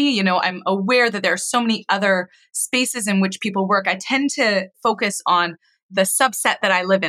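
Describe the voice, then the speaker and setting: A woman speaks at medium pitch and a fairly quick pace, her tone bright and sharp, with ordinary pitch variation. The sound is dry and close with no echo, on a very clean recording with a silent background. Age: 30s. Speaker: mental health educator and psychotherapist. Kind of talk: casual chat.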